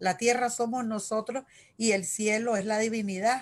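A somewhat breathy woman with a fairly high pitch speaks at a fairly slow pace against a quiet background. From Nicaragua, Managua; Nicaragua. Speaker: local election candidate; election candidate. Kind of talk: interview. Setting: video call. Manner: halting. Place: home room. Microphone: video call.

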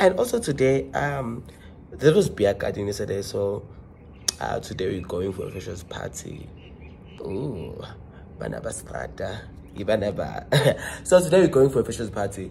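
A man puts on a hoarse character voice at a medium pitch, with very wide pitch swings. He keeps a moderate pace, and background noise is clearly heard. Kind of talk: casual vlog, mixing English and another language.

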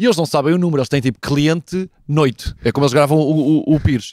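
Over a quiet background with a dry sound and no echo, a man talks at a fairly quick pace and fairly high pitch with ordinary pitch variation. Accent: European Portuguese. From Portugal. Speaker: football podcast host. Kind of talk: casual chat. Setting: abroad in Cologne. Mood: joking, lively. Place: garden. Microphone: handheld.

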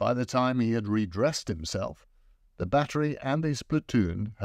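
In a natural voice, a passage is read aloud.

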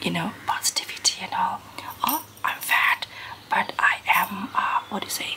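Whispering, a woman speaks at a moderate pace. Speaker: vlogger. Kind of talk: casual vlog chat. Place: home room. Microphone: phone near.

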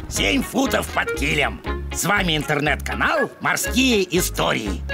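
In a cartoonish character voice, the speaker goes at a moderate pace over clear music in the background.

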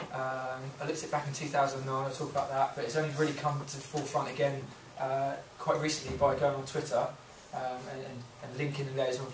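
Audible room echo and light background noise surround the recording. A man speaks at a very fast pace in a monotone, flat intonation. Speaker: teacher presenting to colleagues. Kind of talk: presentation to colleagues. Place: classroom. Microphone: camera far.

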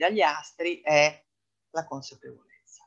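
The background is quiet. The speaker talks at a fairly slow pace with lively intonation. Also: woman. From Italy, Venice; Italy. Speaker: astrologer; presenter. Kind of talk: lecture. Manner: hesitant, frequent fillers. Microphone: webcam.

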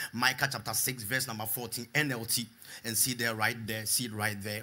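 At a fairly quick pace, a man with a medium pitch speaks in an animated manner with a bright, sharp tone. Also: very clean recording, silent background. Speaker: preacher. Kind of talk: sermon with call-and-response to a live congregation, praying and exhorting. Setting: church with live congregation. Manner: animated, fervent, repeating phrases for the crowd to echo.

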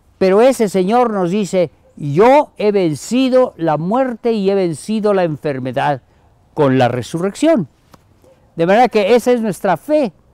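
The voice has a dark, mellow tone with very wide pitch swings, moving at a fairly slow pace over a quiet background with a dry sound and no echo. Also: man, high pitch for a man. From Mexico, Chiapas (Comitán); Chiapas, Mexico. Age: 80s+. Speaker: Jesuit priest, emeritus professor. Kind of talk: recorded message to university community. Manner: warm, informal. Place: garden. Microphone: lapel.

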